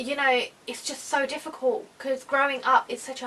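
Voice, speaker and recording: A woman speaks with a British accent at a moderate pace. Her pitch is high. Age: 20s. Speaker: YouTuber. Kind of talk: casual vlog talk.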